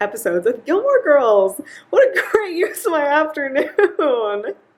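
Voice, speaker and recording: A woman speaks with very wide pitch swings. Noticeable background noise sits behind her. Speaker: English teaching assistant. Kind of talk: casual vlog talk to camera. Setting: apartment with fan noise, noise-reduced. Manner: casual, filler-heavy.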